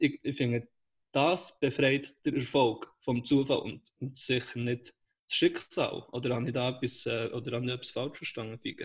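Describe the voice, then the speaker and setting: At a moderate pace, a man talks in a medium pitch with fairly even intonation and a somewhat breathy sound. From Switzerland, Aarberg (Bern). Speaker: podcast co-host, startup worker. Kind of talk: casual chat. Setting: call from home.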